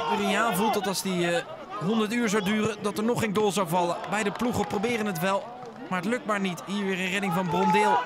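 Against noticeable background noise, a man with a high pitch speaks at a fairly quick pace and very even loudness. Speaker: football commentator. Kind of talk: live sports commentary, match highlights voice-over. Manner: matter-of-fact, steady play-by-play, describing action as it happens.

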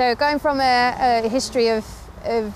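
The speech comes at a very slow pace with fairly even intonation. Noticeable background noise can be heard. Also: woman. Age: 20s. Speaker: motorcycle racer and motorsports TV presenter. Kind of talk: casual vlog talk to camera. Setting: outdoors at a race track. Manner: halting, many fillers and repeated words.

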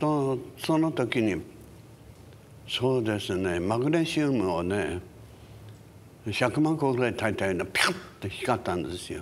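At a moderate pace, a man talks with very wide pitch swings and long, frequent pauses over light background noise. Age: 80s+. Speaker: singer and actor. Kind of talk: interview answer. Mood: calm, reflective storytelling. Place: hall.

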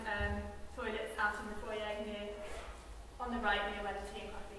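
Strong room echo fills the recording. Noticeable background noise is also present. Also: woman. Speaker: event chair. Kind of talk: event moderation. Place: hall. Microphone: camera far.

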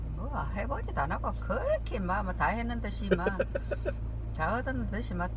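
A woman's very deep, low, monotone voice with flat intonation, dry with no echo, over noticeable background noise. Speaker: mother of the vlogger. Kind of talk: casual conversation with son. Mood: opinionated, mildly scolding. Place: car. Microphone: phone near.

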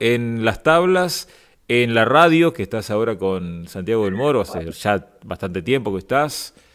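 Against a quiet background, a man with a Rioplatense accent talks at medium pitch. He moves at a fairly slow pace with very wide pitch swings. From Argentina. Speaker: radio host. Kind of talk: interview. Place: studio. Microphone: studio mic.

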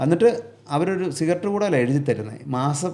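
The man's intonation is lively. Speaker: truck driver. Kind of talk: casual chat.

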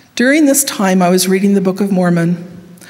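A woman speaks with a western US accent. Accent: western American. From Utah, Salt Lake Valley; Utah. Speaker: university professor. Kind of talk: devotional speech. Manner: formal. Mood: earnest, personal storytelling. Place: hall. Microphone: podium.

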